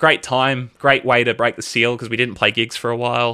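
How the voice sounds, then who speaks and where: A man with an Australian accent, medium pitch and a bright, sharp tone at a moderate pace, on a very clean recording with a silent background. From Australia, Melbourne. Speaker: band vocalist. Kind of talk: casual chat.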